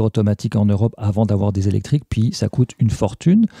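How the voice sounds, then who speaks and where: A man speaks at a fairly quick pace in a fairly low, somewhat breathy voice with a dark, mellow tone, recorded dry and close with no echo. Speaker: podcast columnist. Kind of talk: casual chat.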